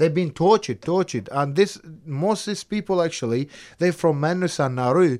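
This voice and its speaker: A man with a high-pitched voice talks at a fairly quick pace. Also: ordinary pitch variation. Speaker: former detainee, asylum seeker. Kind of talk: casual interview. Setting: studio.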